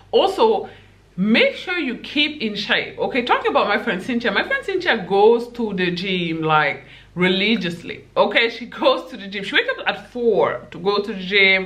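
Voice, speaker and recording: A woman with a fairly high pitch speaks at a moderate pace, her intonation lively and her loudness swinging widely. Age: 20s. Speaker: YouTuber giving dating advice. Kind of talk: casual vlog monologue. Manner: animated, laughs often. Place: home room.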